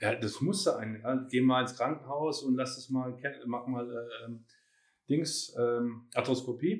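Speaking at a fairly slow pace, a man with a medium pitch uses ordinary pitch variation. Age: 50s. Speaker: personal trainer. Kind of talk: casual chat. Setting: at the trainer's place.

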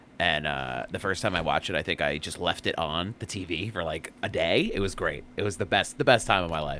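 A man's very deep, low voice with vocal fry, a fairly quick pace and ordinary pitch variation. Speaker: podcast host. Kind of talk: casual chat.

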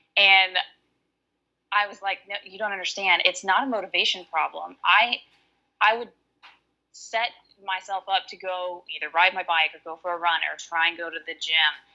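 A woman with a Southern US accent talks at a moderate pace, leaving long, frequent pauses. Her medium-pitched voice has a bright, sharp tone and fairly even intonation. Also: big swings in loudness. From Alabama. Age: 30s. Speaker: online coaching client. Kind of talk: casual chat.

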